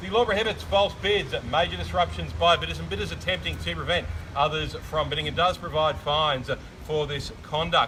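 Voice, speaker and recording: This man has an Australian accent and a fairly quick pace. Noticeable background noise runs behind him. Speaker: auctioneer. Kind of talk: property auction. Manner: loud; formal.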